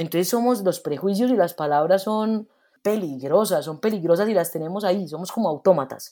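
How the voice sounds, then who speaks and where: A woman's dark, mellow voice in a Medellín accent, medium pitch, fairly quick pace, very clean recording and silent background. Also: ordinary pitch variation. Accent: Medellín (paisa) accent, noticeable. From Medellín, Colombia. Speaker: theater actress and director. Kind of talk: interview.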